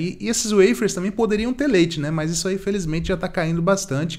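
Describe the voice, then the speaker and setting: This is a man speaking. His pitch shows ordinary variation. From Brazil. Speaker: vegan youtuber. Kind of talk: casual product review to camera. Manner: fast; animated. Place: studio.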